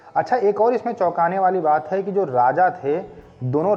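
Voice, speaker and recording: With music in the background, a male speaker talks at a high pitch. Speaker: voice-over artist. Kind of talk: fact video narration. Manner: casual, conversational.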